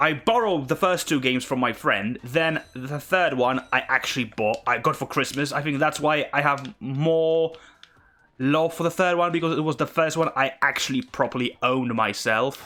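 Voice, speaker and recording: A man's fairly high, bright and sharp voice with a Polish accent, at a moderate pace with ordinary pitch variation. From Poland. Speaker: gamer streamer. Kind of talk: gameplay commentary. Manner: casual, with frequent fillers.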